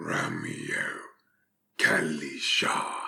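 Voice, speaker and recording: With audible echo, a man whispers in a put-on character voice that is guttural, hissing and raspy. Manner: sneering.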